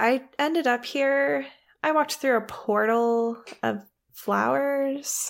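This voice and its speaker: A woman speaks very slowly with lively intonation. The recording is very clean, with a silent background. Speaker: player in a tabletop roleplaying game.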